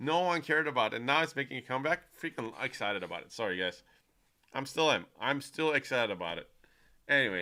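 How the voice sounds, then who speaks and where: A man speaks at a very fast pace in a medium pitch, with very wide pitch swings and big swings in loudness. His tone is bright and sharp with vocal fry, on a very clean recording with a silent background. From United States. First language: not English. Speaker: streamer. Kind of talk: live stream chat. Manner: animated.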